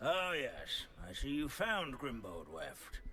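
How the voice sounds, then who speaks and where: Put-on character voice from a man, fairly slow in pace, clear background noise behind. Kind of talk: scholarly lecture. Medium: video game. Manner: droning, pedantic.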